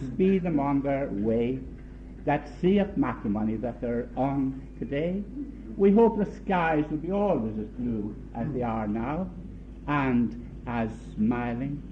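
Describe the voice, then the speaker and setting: A man with a non-native accent speaks at a very slow pace, and room echo can be heard. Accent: foreign. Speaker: uncle of the bride giving a wedding toast. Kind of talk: wedding speech. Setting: wedding reception. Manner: halting.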